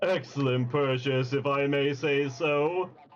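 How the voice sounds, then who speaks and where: Over clear background music, a man does a put-on character voice with a fairly high pitch, fairly even intonation, and a fairly slow pace. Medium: game stream. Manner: smarmy, brisk.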